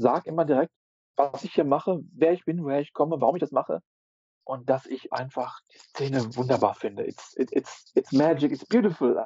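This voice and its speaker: A man with an ordinary speaking voice talks at a moderate pace and fairly high pitch, with ordinary pitch variation. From Ruhr area, Germany. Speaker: street photographer and intensive care worker. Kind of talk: casual chat.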